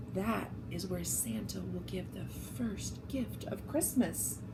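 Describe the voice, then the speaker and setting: A woman puts on a character voice and speaks at a fairly slow pace over loud background noise. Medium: read story.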